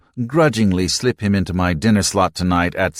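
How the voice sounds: Someone reads in a natural voice while the pitch shifts by ordinary amounts.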